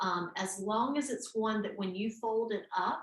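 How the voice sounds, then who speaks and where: The speaker talks at a fairly slow pace. There is a slight Southern US accent. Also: woman. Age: 50s. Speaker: yoga teacher. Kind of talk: instructional class. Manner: relaxed, with frequent fillers.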